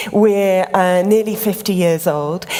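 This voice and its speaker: A woman speaking with ordinary pitch variation over noticeable background noise. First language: English (speaking Italian). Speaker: creative director of a craft organisation. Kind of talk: lecture.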